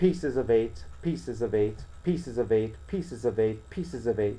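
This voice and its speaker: A man puts on a robotic character voice, keeping a medium pitch and a moderate pace. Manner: repetitive, mechanical.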